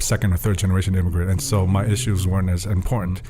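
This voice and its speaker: A man's voice comes across somewhat breathy with a dark, mellow tone. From Tonga. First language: Tongan (bilingual with English). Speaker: student leadership program manager. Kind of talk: podcast interview. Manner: hesitant with fillers and restarts.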